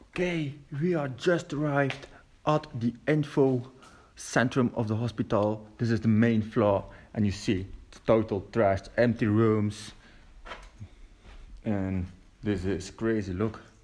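A man talks at a fairly slow pace with ordinary pitch variation. Long, frequent pauses break up his speech. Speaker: urban explorer vlogger. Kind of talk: casual vlog chat. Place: hall. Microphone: phone near.

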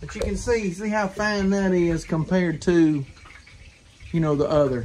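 A man with a Southern US accent speaks at a high pitch with ordinary pitch variation. Noticeable background noise is heard. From US South. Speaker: hunter and home cook. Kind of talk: cooking tutorial. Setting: outdoor kitchen. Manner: casual, folksy. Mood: relaxed, easygoing. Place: kitchen. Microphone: camera far.

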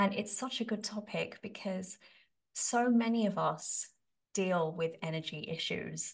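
The background is quiet. A woman speaks in a somewhat breathy voice. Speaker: podcast host. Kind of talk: interview question. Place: home room. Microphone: studio mic.

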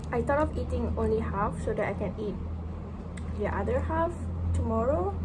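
A woman at a fairly quick pace amid noticeable background noise. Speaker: medical student. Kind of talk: casual vlog talk to camera. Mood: relaxed, playful. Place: home room. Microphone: phone near.

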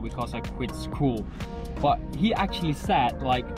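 The sound is dry, with no echo, as a man speaks. Clear music plays behind him. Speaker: vlogger. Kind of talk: casual vlog chat. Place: car. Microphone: phone near.

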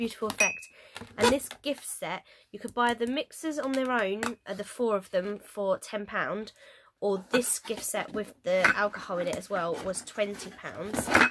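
Amid loud background noise, a woman talks at a moderate pace with ordinary pitch variation. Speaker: vlogger. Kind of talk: casual haul vlog chat. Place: home room. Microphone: phone near.

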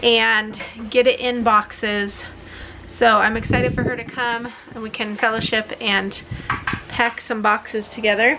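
Over noticeable background noise, a woman talks at a fairly slow pace with long, frequent pauses. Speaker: family vlogger. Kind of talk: casual vlog chat. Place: home room. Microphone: phone near.

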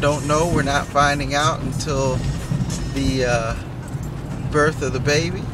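A man speaks with music in the background. The sound is dry with no echo. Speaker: driver vlogger. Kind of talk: casual vlog chat. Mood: earnest, preachy then warm. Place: car. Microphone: phone near.

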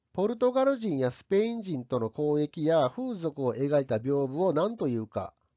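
A man with a fairly high pitch speaks with very wide pitch swings and hardly any pauses. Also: moderate pace. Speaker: history teacher. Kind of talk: lecture. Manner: formal.

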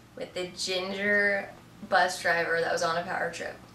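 A woman speaks at a moderate pace. Light background noise and audible room echo are present. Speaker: interviewee. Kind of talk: interview answer. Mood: relaxed, amused. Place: home room.

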